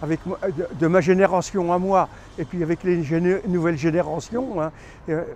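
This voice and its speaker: Pitched high for a man, this voice moves with ordinary pitch variation. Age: 70s. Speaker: street interviewee. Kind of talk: street interview. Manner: halting, frequent hein fillers.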